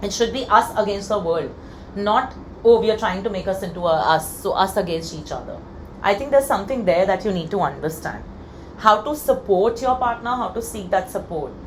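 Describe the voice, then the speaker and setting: A woman speaks at a fairly quick pace and medium pitch with ordinary pitch variation. Audible room echo surrounds her voice. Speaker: tarot card reader. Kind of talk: pick-a-card tarot reading. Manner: casual, filler-heavy.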